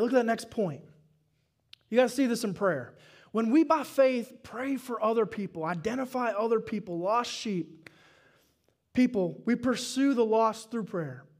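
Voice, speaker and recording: Against a quiet background, a man with a Southern US accent sounds animated, speaking at a moderate pace and high pitch with ordinary pitch variation. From US South. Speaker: pastor. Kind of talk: sermon. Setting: church. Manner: animated, call-and-response with the congregation. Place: church. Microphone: headset.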